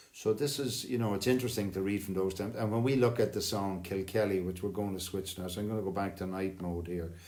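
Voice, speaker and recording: Speaking at a very fast pace with an Irish accent, the voice shows ordinary pitch variation. Noticeable background noise and audible room echo surround it. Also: man, fairly low pitch for a man. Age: 60s. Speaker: singing circle host, retired lecturer. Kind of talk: casual chat.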